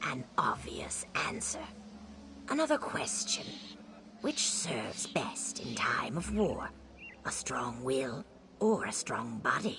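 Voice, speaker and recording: A put-on character voice in a whisper, fairly slow, with long, frequent pauses. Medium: video game. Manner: measured, cryptic.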